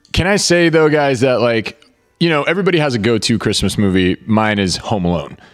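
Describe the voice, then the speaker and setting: Over background music, a man with a medium pitch keeps a very even loudness while his pitch swings very widely. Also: fairly quick pace. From Venezuela. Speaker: film podcast co-host. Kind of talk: casual watch-along chat. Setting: live stream recording.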